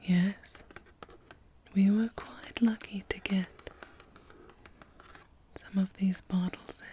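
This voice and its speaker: Whispering and soft-spoken, a woman speaks at a very slow pace with long, frequent pauses over noticeable background noise. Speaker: perfume counter consultant (role play). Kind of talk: ASMR role play, perfume store consultant talking to a customer. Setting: ASMR recording with bottle, tapping and spraying sounds. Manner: soft-spoken, whispered.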